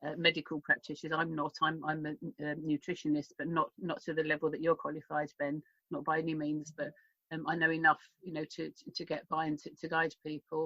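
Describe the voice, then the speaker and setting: A woman with a very deep, low pitch speaks at a fairly quick pace in a monotone, flat intonation. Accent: British. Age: 60s. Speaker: health mentor and radio host. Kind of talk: interview. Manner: halting, many repetitions.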